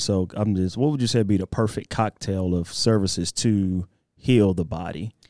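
On a very clean recording with a silent background, a man of fairly low pitch speaks in a dark, mellow tone with ordinary pitch variation. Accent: Southeast Texas. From Texas, Port Arthur. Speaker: fitness podcast host. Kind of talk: casual podcast interview.

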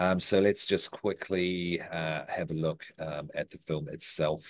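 A man speaks with a New Zealand accent at a very deep, low pitch. The background is quiet. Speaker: podcast host. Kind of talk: casual chat. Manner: hesitant, many fillers.

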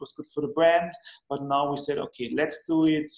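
A German accent marks this man's speech. He talks at a moderate pace. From Austria, Lech (Vorarlberg). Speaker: magazine founder. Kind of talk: casual chat. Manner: halting.

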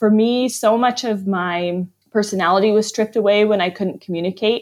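A woman with a plain, everyday voice speaks at medium pitch and a moderate pace, with ordinary pitch variation against a quiet background. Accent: American. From US, Arizona and Vermont. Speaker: author and church planter. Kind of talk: interview.

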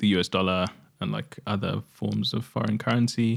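Ordinary pitch variation on a very clean recording with a silent background. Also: man. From Zimbabwe. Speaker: spoken word poet and performer. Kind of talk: casual interview chat.

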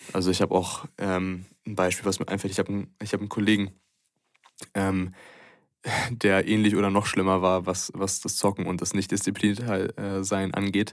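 A man with a very deep, low pitch talks at a moderate speed, his intonation monotone and flat. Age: 20s. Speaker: student and American football player. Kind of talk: casual chat. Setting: in person, sitting across from the host.

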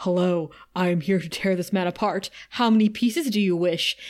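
A woman's put-on character voice at medium pitch and a moderate pace. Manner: menacing, deadpan.

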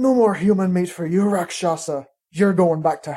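A put-on character voice, female-sounding and hissing, at a medium pitch and a moderate pace

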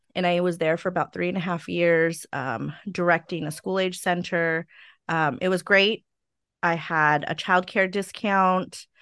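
Against a quiet background, a woman speaks at a fairly slow pace with a fairly low pitch and fairly even intonation. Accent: Californian. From California (Stockton). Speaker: preschool owner and director. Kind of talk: interview, personal testimony. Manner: frequent fillers (um).

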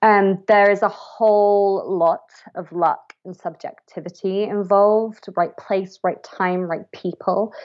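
Speaking at a very slow pace with hardly any pauses, a woman keeps her intonation fairly even while her loudness swings widely. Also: medium pitch for a woman. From West Country, England. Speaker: audiobook producer and director. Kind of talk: casual interview chat.

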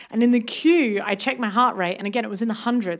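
A woman at a very fast pace, fairly high-pitched with ordinary pitch variation, over noticeable background noise. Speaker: stand-up comedian. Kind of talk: stand-up. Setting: stage with audience.

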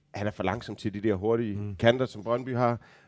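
A man with an ordinary speaking voice talks at a medium pitch. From Denmark, Aarhus. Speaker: football fan guest. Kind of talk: casual chat.

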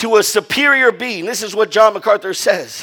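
A man speaks in a raised, projected voice with a bright, sharp tone. His delivery is animated, with ordinary pitch variation. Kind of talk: sermon. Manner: animated call-and-response preaching, repeating phrases and prompting "Amen"; emphatic, rising-intensity delivery urging the congregation to stand.

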